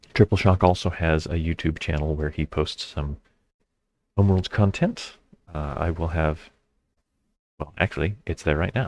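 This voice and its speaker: Mumbling at a moderate pace, a man speaks in a very deep, low pitch. His intonation is fairly even, and the sound is dry and close with no echo. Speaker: board game streamer. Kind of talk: live gameplay commentary. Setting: live stream.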